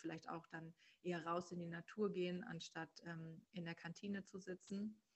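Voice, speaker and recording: Somewhat breathy speech with a monotone, flat intonation, at a moderate pace. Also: woman. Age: 30s. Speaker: human design coach. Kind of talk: interview.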